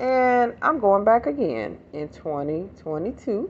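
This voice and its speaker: A woman at a fairly slow pace, with very wide pitch swings. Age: 50s. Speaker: life coach and motivational speaker. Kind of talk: motivational talk to camera. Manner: casual, rambling and conversational.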